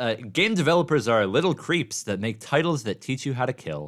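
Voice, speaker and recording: A man with a plain, everyday voice, medium in pitch, with an American accent, lively intonation and a moderate pace, on a very clean recording with a silent background. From Oregon. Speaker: college radio host. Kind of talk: casual chat. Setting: studio.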